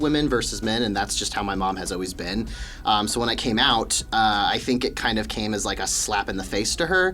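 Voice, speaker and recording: Over noticeable background noise, a man with an American accent speaks at a fairly quick pace with lively intonation. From US Midwest (Wichita, Kansas). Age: 20s. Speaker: graduate student and gym worker. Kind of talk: podcast interview. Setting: studio.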